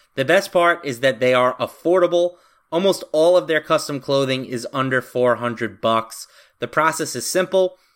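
With a normal speaking voice, a man talks at a fairly high pitch, with ordinary pitch variation and a moderate pace. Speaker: sports betting podcast host. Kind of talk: casual sports betting chat with ad reads.

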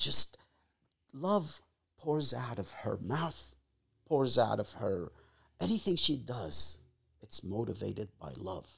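In an Arabic accent, a man with a medium-pitched voice and vocal fry talks at a very slow pace, taking long, frequent pauses while his pitch swings very widely. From Egypt. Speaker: father of the host. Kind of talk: casual interview, life story. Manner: halting, many fillers.

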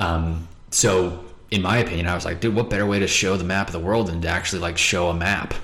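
Over noticeable background noise, a man with an American accent talks at a very fast pace, his very deep, low pitch held to fairly even intonation. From Montana, US. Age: 20s. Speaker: English teacher. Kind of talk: casual chat. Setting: home kitchen.

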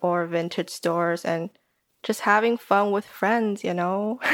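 A woman with a Taiwanese accent, medium in pitch with ordinary pitch variation, at a fairly slow pace, on a very clean recording with a silent background. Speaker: podcaster and design student. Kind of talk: casual interview chat.

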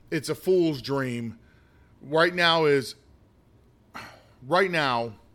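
A man with an American accent and a fairly high pitch, at a very slow pace with long, frequent pauses. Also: ordinary pitch variation. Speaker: political commentator. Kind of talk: opinion monologue. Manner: halting, with many fillers.

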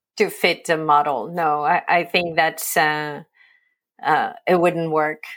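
A woman with a French accent speaks at a very slow pace in a fairly low voice with monotone, flat intonation. The recording is very clean, with a silent background. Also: very even loudness. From France, Provence. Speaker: agency owner. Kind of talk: interview.

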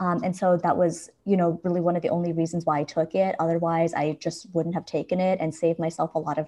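With an American accent, a woman speaks at a fairly quick pace with hardly any pauses, her fairly low voice dark and mellow in tone and her intonation monotone and flat, against a quiet background. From Los Angeles suburbs, California. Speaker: university librarian. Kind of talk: casual interview.

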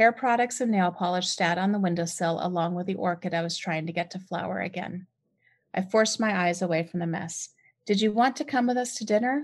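A woman with an American accent has an ordinary speaking voice. Her pitch is medium, and the background is quiet. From US West Coast, San Diego. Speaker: author and podcaster. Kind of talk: reading aloud.

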